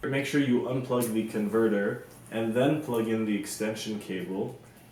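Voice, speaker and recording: A man speaks with a fairly low pitch and fairly even intonation. Noticeable background noise and audible room echo can be heard. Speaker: youtuber reviewing gear. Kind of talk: product review tutorial. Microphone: cheap lavalier mic clipped to shirt, may rustle.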